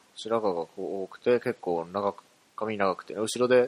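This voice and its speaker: The sound is dry and close with no echo, and the pitch variation is ordinary. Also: man. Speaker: podcast host. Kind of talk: casual solo monologue.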